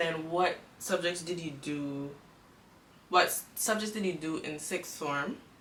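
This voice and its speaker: Long, frequent pauses from a woman at a fairly low pitch and a fairly slow pace, with ordinary pitch variation, audible room echo and noticeable background noise. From Cayman Islands. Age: 20s. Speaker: student YouTuber. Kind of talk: casual interview chat.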